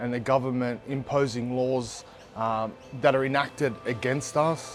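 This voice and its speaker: A man speaks at medium pitch in a monotone, flat delivery at a moderate pace. Music plays in the background. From Redfern, Sydney, Australia. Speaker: community organisation co-founder and advocate. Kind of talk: interview answer.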